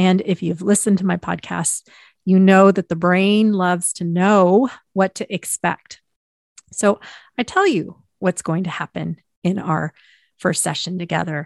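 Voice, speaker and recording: A woman speaks in a plain, everyday voice at medium pitch and a fairly slow pace. Her intonation is fairly even, and the sound is dry and close with no echo. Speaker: podcast host and hypnotherapist. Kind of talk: solo podcast monologue, educational.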